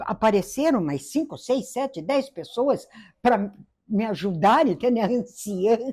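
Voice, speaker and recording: In a very clean recording with a silent background, a woman speaks at a fairly slow pace in a dark, mellow tone with very wide pitch swings. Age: old. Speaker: interviewee in documentary. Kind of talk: interview testimony.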